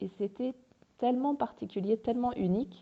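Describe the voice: Vocal fry runs through the woman's speech.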